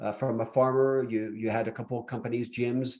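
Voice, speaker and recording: Speaking at a very fast pace, a man has a medium pitch. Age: 60s. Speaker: podcast host and investment trainer. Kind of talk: interview.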